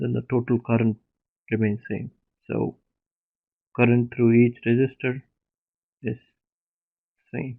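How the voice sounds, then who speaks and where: Soft-spoken and monotone, a man with a medium pitch talks with long, frequent pauses. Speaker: teaching assistant. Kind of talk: online lecture. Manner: slow.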